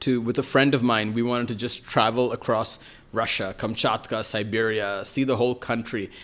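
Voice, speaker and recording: A man's medium-pitched voice moves at a moderate pace, its intonation monotone and flat. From New York City, US. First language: Malayalam. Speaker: writer and journalist. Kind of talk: podcast interview. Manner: hesitant, many fillers.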